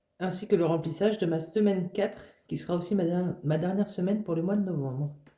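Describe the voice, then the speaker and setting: Delivered at a very fast pace, the voice has a dark, mellow tone. It sounds somewhat breathy, with fairly even intonation. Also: woman, fairly low pitch for a woman. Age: 20s. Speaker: budgeting vlogger. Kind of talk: casual vlog talk to camera. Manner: halting, many fillers.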